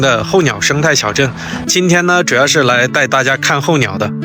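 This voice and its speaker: Here a man speaks at a fairly high pitch with lively intonation and a moderate pace. Noticeable background noise is present. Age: 30s. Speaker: travel vlogger. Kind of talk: travel vlog talk to camera.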